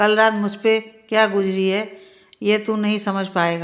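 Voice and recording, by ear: The speaker reads aloud in a natural voice.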